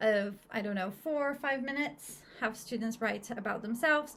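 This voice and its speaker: Fairly high female voice in a Portuguese accent, fairly slow, with ordinary pitch variation. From Brazil. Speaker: English teacher. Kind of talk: casual chat.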